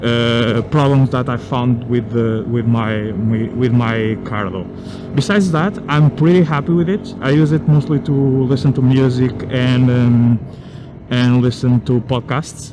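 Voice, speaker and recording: A man at a medium pitch, fairly slow, with ordinary pitch variation and noticeable background noise. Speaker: motorcycle vlogger. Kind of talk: product review. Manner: halting, many fillers.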